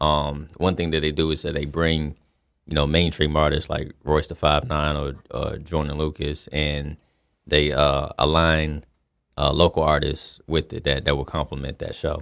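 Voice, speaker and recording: A man with an American accent speaks at a moderate pace, his very deep, low voice monotone and flat. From US South, Fayetteville, North Carolina. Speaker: rapper. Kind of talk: casual interview chat. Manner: halting, many fillers and repetitions.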